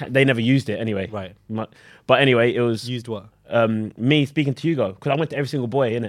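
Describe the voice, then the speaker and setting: A man's medium-pitched voice with a British accent, at a very fast pace with ordinary pitch variation and big swings in loudness, on a very clean recording with a silent background. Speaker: reality TV contestant. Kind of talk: casual chat.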